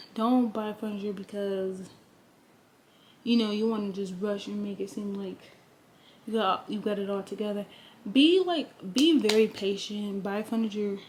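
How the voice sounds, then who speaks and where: A woman with a somewhat breathy voice of medium pitch speaks at a moderate pace with fairly even intonation and long, frequent pauses. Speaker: lifestyle vlogger. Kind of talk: casual vlog talk to camera. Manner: hesitant with many fillers.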